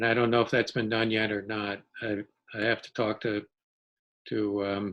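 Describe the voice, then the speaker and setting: With monotone, flat intonation, a man speaks in a fairly low pitch at a moderate pace. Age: 70s. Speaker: town energy committee member. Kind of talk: casual chat.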